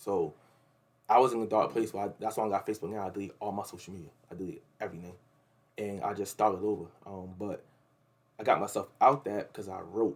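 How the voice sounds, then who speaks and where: A man with an American accent and a fairly low pitch speaks at a very fast pace. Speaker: rapper. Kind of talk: interview.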